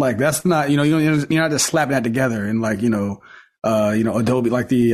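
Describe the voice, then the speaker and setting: At a fairly quick pace, a man speaks in a plain, everyday voice of medium pitch with ordinary pitch variation. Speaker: golf podcast co-host. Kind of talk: casual chat. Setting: video call.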